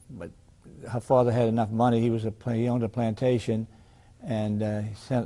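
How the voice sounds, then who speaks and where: The man's tone is dark and mellow. He keeps a moderate pace and fairly even intonation. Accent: New Orleans. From New Orleans, Louisiana. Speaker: retired attorney. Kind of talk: oral history interview. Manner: halting, frequent fillers and restarts.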